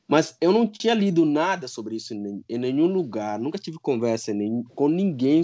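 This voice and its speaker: Against a quiet background, a man with a Guinea-Bissau accent speaks in a fairly high pitch with very wide pitch swings. His tone is dark and mellow. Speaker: parent guest. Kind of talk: casual chat.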